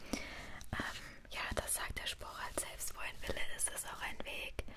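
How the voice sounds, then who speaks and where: A woman whispers in a soothing tone at a very slow pace. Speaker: ASMR creator. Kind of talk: ASMR whisper talk to camera, explaining her tattoos. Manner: whispered, relaxing, soothing. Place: home room. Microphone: studio mic.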